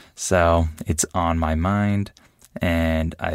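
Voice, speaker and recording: Very deep, low-pitched male speech on a very clean recording, background silent. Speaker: podcast host, English teacher. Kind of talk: language-learning monologue. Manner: slow; clear.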